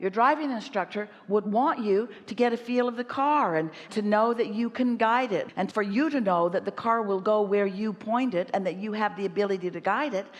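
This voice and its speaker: Amid noticeable background noise, a woman talks at a moderate pace with a fairly high pitch and ordinary pitch variation. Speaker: spiritual teacher giving answers to audience questions at a live workshop. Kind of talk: motivational teaching talk answering an audience member.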